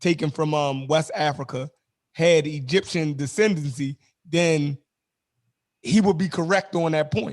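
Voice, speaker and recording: Against a quiet background, a man speaks at a fairly high pitch with ordinary pitch variation. His pace is fairly slow, with long, frequent pauses. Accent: Baltimore. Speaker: online discussion host. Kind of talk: casual debate chat. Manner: halting, many fillers.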